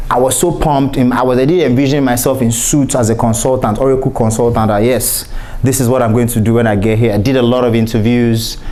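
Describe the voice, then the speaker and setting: With a Nigerian accent, a man talks at a very fast pace with hardly any pauses, his medium pitch and fairly even intonation held at very even loudness, amid audible room echo and noticeable background noise. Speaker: cybersecurity professional and keynote speaker. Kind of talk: conference keynote talk.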